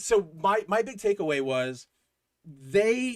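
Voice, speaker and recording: A man with very wide pitch swings. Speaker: comic book podcast co-host. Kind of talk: casual chat. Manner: halting, stuttering.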